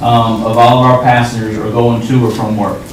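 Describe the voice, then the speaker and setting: Man with a Southern US accent, medium pitch and fairly quick pace, amid noticeable background noise and audible room echo. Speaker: regional transit official presenting to council. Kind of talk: public presentation at council meeting. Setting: town council meeting. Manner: fast.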